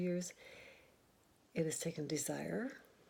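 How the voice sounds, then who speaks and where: Fairly slow, somewhat breathy speech from a woman. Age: 70s. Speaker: nurse practitioner. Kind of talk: casual talk to camera.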